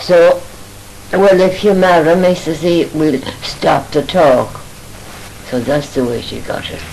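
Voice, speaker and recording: A woman with a western Irish accent and a fairly low pitch speaks fairly slowly, taking long, frequent pauses against noticeable background noise. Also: ordinary pitch variation. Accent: rural west of Ireland. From Ireland, Oughterard, Co. Galway. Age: 80s+. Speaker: elderly mother reminiscing. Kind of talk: family reminiscence.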